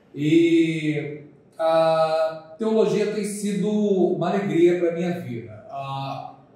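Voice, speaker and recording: In a Rio de Janeiro accent, a man speaks at a very slow pace with a high pitch, a dark, mellow tone, ordinary pitch variation, and big swings in loudness, amid audible room echo. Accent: Rio de Janeiro (carioca). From Brazil, Paraíba (Campina Grande). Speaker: pastor and theology professor. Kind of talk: casual interview chat.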